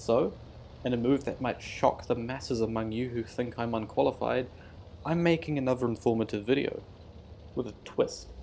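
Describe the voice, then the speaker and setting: Here a man speaks with a New Zealand accent at medium pitch. His tone is dark and mellow, with vocal fry and a moderate pace. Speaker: gaming YouTuber. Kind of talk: gameplay commentary. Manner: casual, self-deprecating with hesitations.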